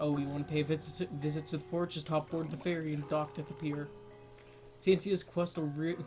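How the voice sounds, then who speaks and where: Music plays in the background as a man talks at a moderate pace. His pitch is fairly high and his intonation fairly even. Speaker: gaming let's play youtuber. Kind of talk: reading game dialogue aloud. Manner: halting, repeats words.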